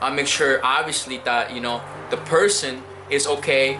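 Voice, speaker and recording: With noticeable background noise and audible room echo, a man speaks at a fairly slow pace and fairly high pitch, with ordinary pitch variation. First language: Spanish. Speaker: immigrant, former firefighter. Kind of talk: interview. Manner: hesitant, many fillers and repetitions.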